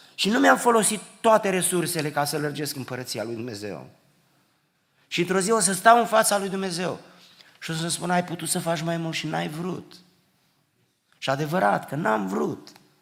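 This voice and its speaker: A man's high-pitched, animated voice at a moderate pace, with lively intonation, long and frequent pauses, and audible room echo. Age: 60s. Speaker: preacher. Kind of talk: sermon. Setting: church.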